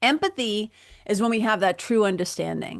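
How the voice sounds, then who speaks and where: Against a quiet background, a woman with a medium-pitched voice and ordinary pitch variation speaks in a Boston accent. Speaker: podcast host, spiritual mentor. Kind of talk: solo podcast talk. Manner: energetic, casual, humorous.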